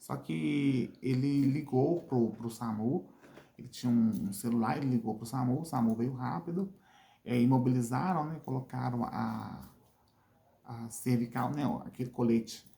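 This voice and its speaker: At a fairly slow pace, a man speaks at medium pitch in a somewhat breathy, dark, mellow voice with ordinary pitch variation. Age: 50s. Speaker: vlogger, wheelchair user. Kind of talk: channel call to action; personal testimony. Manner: halting, repetitive.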